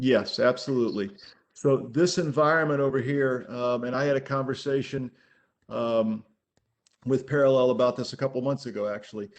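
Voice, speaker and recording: The man's medium-pitched voice carries fairly even intonation. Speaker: telecom solutions presenter. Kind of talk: webinar presentation. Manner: fast.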